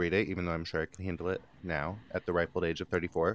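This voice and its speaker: A man's very deep, low voice in a dry, close sound with no echo. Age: 30s. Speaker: podcast co-host. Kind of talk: casual chat.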